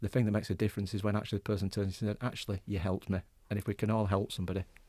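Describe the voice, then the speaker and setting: Speaking at a very fast pace in a Yorkshire accent, a man uses a fairly low pitch and a dark, mellow tone with monotone, flat intonation. The very clean recording has a silent background and a dry, close sound with no echo. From West Yorkshire. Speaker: mental health charity deputy chief executive. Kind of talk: radio interview.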